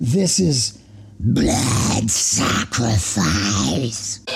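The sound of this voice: Growling in a put-on character voice at a fairly low pitch, a man speaks over clear background noise.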